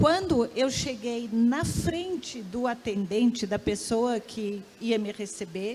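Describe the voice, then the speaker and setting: It is a normal speaking voice from a woman, fairly high in pitch with ordinary pitch variation. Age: 60s. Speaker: professor and researcher. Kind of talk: panel discussion.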